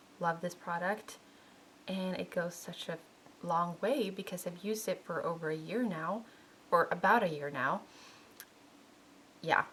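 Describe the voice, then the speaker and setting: A woman speaks at a fairly low pitch with a non-native accent and ordinary pitch variation. Her pace is fairly slow, with long, frequent pauses. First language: not English. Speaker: beauty vlogger. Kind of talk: makeup product review vlog. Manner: casual, with self-corrections.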